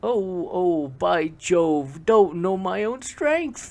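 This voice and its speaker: A very slow, high-pitched put-on character voice from a man. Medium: read story. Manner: nervous, excitable.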